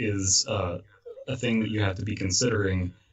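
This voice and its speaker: Against noticeable background noise, a man speaks at a moderate pace. His pitch is fairly low and his intonation fairly even. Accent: American. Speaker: podcast host and horror story narrator. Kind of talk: casual chat.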